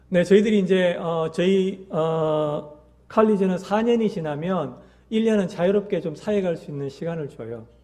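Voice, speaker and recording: A man talks at a high pitch in a dark, mellow tone with ordinary pitch variation. Audible room echo surrounds the voice. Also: moderate pace. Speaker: missionary. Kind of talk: mission report in church service. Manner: hesitant with many fillers.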